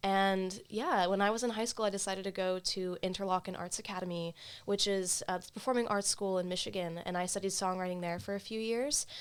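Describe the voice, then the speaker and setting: Fairly quick and medium-pitched, a woman talks with an American accent and fairly even intonation. She has an unremarkable speaking voice. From US East Coast (born Jacksonville, Florida). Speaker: singer-songwriter and music student. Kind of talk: casual interview. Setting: studio.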